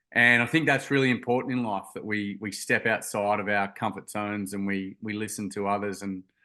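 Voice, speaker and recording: A bright, sharp tone in a Queensland accent, with fairly even intonation and hardly any pauses. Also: man, fairly low pitch for a man, fairly quick pace, quiet background. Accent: Australian (Queensland). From Queensland, Australia (Gold Coast). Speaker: charity founder, youth mental health advocate. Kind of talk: podcast interview, personal story. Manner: hesitant, many fillers and repeated words.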